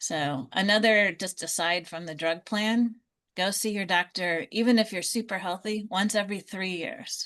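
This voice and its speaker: An ordinary speaking voice from a woman, medium in pitch with ordinary pitch variation, at a moderate pace against a quiet background. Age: 60s. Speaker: Medicare insurance advisor. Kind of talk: online group Q&A session.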